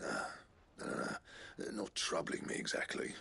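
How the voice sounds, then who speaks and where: A man's put-on character voice, raspy and gruff at an extremely high pitch, at a moderate pace. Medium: video game. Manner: blunt, gruff.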